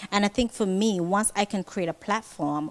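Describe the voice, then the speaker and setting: Speaking at a moderate pace, a woman with a Kittitian accent uses lively intonation. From St Kitts. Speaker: fashion designer. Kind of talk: interview.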